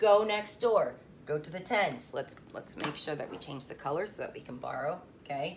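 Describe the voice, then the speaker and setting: In an animated tone at a moderate pace, the speaker is heard with audible room echo. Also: woman. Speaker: elementary school teacher. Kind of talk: remote lesson tutorial for young pupils.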